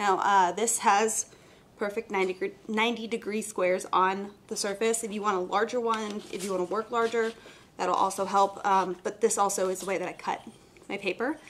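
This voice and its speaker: A woman's monotone, flat-toned delivery at a moderate pace. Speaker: art instructor host. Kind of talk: live tutorial. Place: studio.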